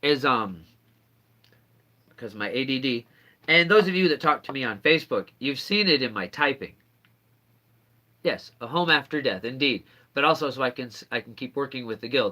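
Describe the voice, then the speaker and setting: A man speaks in a fairly high pitch with a bright, sharp tone and lively intonation. His loudness swings widely, and his pauses are long and frequent. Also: moderate pace. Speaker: YouTuber, self-styled sorcerer. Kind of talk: live stream chat. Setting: indoors at home. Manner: halting, with false starts.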